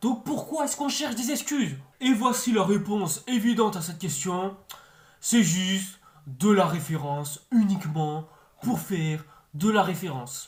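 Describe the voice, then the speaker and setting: A man speaks in an animated tone at a high pitch. His pitch swings very widely, and his loudness rises and falls sharply. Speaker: YouTube film and series reviewer. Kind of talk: video review commentary. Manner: fast; animated, exasperated.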